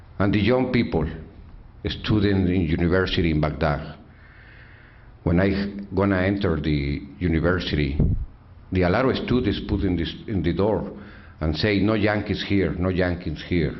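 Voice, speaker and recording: With a Mexican accent, a man speaks in a very deep, low voice with ordinary pitch variation and very even loudness, taking long, frequent pauses amid audible room echo. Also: moderate pace. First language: Spanish. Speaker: activist, father of fallen soldier. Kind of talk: speech. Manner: halting broken English.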